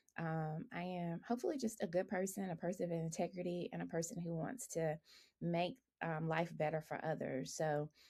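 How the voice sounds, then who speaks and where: A woman talks in a Southern US accent with a fairly low pitch. Her tone is dark and mellow, and somewhat breathy. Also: ordinary pitch variation, moderate pace. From US South, rural Alabama. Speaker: engineering professor. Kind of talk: podcast interview.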